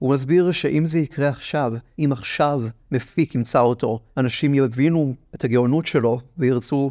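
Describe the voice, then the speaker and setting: A man's medium-pitched voice with a dark, mellow tone, fairly even intonation and a moderate pace over a quiet background. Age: 20s. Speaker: podcast host and theatre producer. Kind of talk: personal monologue podcast. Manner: wry, reflective.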